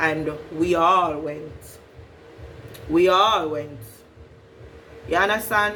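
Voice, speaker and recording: A woman speaks very slowly with ordinary pitch variation and long, frequent pauses. Audible room echo and noticeable background noise are present. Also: fairly low pitch for a woman. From Jamaica, Westmoreland. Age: 20s. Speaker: vlogger. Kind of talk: casual storytime vlog.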